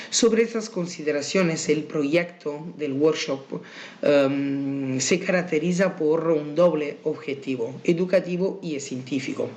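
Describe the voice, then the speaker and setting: A man with an Italian accent at a very slow pace, with audible room echo. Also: ordinary pitch variation. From Italy. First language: Italian (speaking Spanish). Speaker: university researcher. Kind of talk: conference presentation. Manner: halting, with many fillers.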